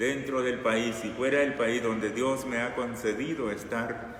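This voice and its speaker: A man of medium pitch at a fairly slow pace, with audible room echo and noticeable background noise. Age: 60s. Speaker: preacher. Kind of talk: sermon.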